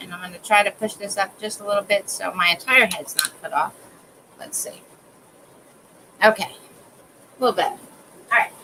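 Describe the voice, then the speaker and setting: Noticeable background noise sits behind a woman speaking at a fairly quick pace with long, frequent pauses. Her medium-pitched voice has ordinary pitch variation and big swings in loudness. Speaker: crafts livestreamer. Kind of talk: tutorial. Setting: live stream from home. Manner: casual, chatty.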